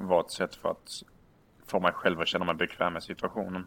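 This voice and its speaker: A man speaks at a moderate pace. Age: 20s. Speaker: podcast guest. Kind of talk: casual chat.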